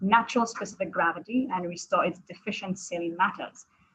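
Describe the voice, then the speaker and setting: A woman speaks at a medium pitch with ordinary pitch variation. Her voice is somewhat breathy and her pace fairly quick. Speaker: critical care fellow physician. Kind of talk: lecture. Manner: fast.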